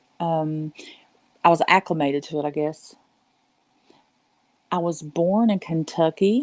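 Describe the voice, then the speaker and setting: A woman with a Southern US accent at a very deep, low pitch and ordinary pitch variation, at a fairly slow pace, with dry, close sound and no echo, on a very clean recording with a silent background. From US South, western North Carolina Appalachians. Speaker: live streamer. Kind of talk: casual chat. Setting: live stream at home. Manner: softer than usual.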